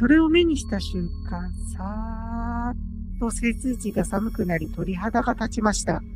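Music plays in the background as a woman speaks at a fairly slow pace with hardly any pauses. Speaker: virtual youtuber. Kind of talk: ghost story narration. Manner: polite, formal.

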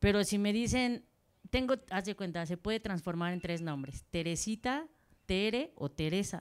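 In a quiet background, a woman with an unremarkable speaking voice speaks at a fairly slow pace and medium pitch, with ordinary pitch variation. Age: 40s. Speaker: football coach. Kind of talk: audience question. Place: hall.

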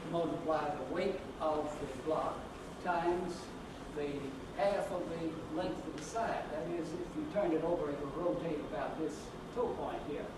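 A man at a moderate pace with long, frequent pauses, amid noticeable background noise and audible room echo. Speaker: presenter. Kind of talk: lecture. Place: hall.

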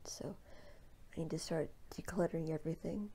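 A soft-spoken, somewhat breathy woman in a relaxed tone with ordinary pitch variation. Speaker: stay-at-home mom. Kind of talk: ASMR decluttering talk to camera. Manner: soft-spoken, relaxed. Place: home room. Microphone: phone near.

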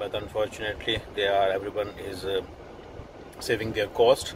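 A man's fairly low voice at a moderate pace, dry with no echo, over noticeable background noise. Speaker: food vlogger. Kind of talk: casual vlog chat. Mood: relaxed, content. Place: car. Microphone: phone near.

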